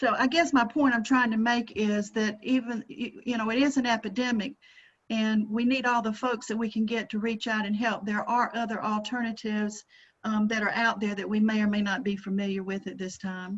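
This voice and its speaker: Speaking with a Georgia accent, a woman uses a fairly high, somewhat breathy voice at a fairly quick pace with fairly even intonation. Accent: Southern US (Georgia). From Georgia, US South. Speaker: presenter, counselor/coach. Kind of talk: panel discussion.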